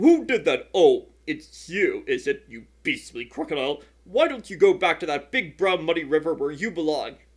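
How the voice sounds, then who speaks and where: Against a quiet background, a man does a put-on character voice, pitched high and delivered at a moderate pace. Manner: indignant.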